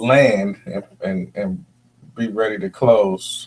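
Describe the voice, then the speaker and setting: A man is speaking at a medium pitch. His pace is very slow. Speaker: talk show host. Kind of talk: live call-in show.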